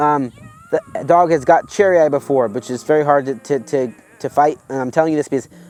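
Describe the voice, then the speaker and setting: A man speaks with music in the background. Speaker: dog breeder. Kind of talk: tutorial. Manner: fast; animated.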